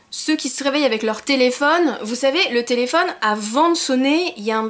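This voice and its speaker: Over noticeable background noise, a woman with a high pitch and lively intonation speaks at a fairly quick pace. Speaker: YouTuber. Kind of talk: casual vlog monologue. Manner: fast.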